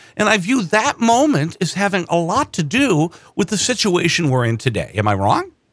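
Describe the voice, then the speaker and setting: A man with an Upper Midwest accent speaks at a high pitch and moderate pace. His pitch swings very widely while his loudness stays very even. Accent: Upper Midwest American. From Wisconsin, Madison area. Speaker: political podcast host. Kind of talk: political discussion.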